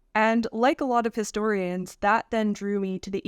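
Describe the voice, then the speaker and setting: In a very clean recording with a silent background and a dry, close sound with no echo, a woman with a Canadian accent uses a normal speaking voice at a medium pitch. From Canada. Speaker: historian. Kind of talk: interview.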